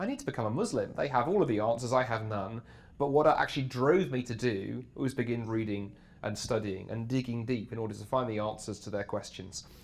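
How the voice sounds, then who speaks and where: With a British accent, a man speaks at a fairly quick pace and medium pitch, his voice carrying audible room echo. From England. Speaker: apologetics speaker. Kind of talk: interview. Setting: backstage at a conference.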